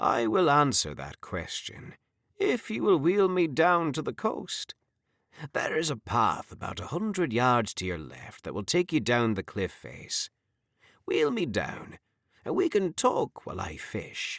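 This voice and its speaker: Over a silent background in a very clean recording, a man uses a put-on character voice with a fairly high pitch at a fairly slow pace. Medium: read story. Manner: warm, grandfatherly.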